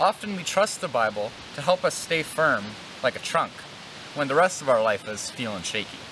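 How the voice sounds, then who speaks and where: Noticeable background noise sits behind this recording. A man talks at a moderate pace. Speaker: church educator. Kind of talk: children's devotional talk and prayer. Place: open country.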